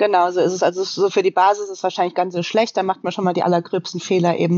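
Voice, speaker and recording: This woman's voice is medium in pitch. Her intonation is monotone and flat. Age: 30s. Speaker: professional triathlete and coach. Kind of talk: casual interview conversation.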